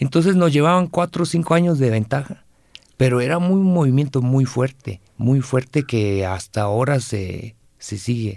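His delivery has lively intonation. The man keeps a moderate pace. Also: medium pitch for a man. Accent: Guatemalan. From Guatemala. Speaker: singer-songwriter. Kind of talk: interview. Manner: halting.

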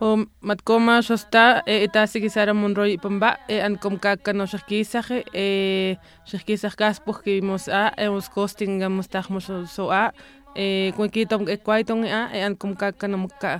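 Speaking at a fairly slow pace, a woman keeps a medium pitch in a monotone, flat intonation. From Punta Chueca, Sonora, Mexico. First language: Seri (speaking Spanish). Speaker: poet and singer. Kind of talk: personal testimony.

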